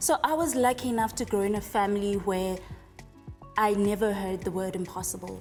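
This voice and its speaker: Music plays in the background as the speaker talks at a fairly quick pace with ordinary pitch variation. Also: woman, medium pitch for a woman. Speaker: software engineer. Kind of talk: TV interview answer.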